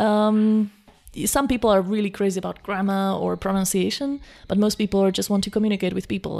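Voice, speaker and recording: Talking at a fairly quick pace, a woman speaks in a Slovak accent. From Slovakia. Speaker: language coach. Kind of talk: interview.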